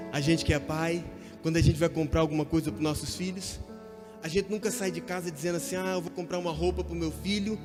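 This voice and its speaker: Music plays in the background while a man speaks. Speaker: preacher. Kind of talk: sermon.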